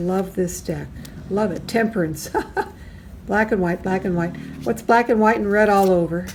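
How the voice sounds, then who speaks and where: Against noticeable background noise, a woman speaks in an animated tone at a moderate pace and medium pitch, with ordinary pitch variation and long, frequent pauses. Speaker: tarot YouTuber. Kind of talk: casual video review.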